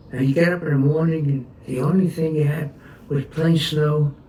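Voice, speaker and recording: A man with a New York accent talks at a moderate pace and a fairly high pitch. Noticeable background noise runs beneath his voice. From New York City, Brooklyn. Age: 80s+. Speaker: war veteran. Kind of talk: oral history interview. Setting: at home. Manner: halting.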